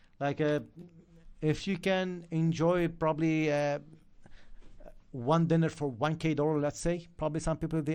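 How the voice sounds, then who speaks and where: Speech at a moderate pace with an Arabic accent, broken by long, frequent pauses. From Lebanon. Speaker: forex trading educator. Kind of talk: live stream chat. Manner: animated.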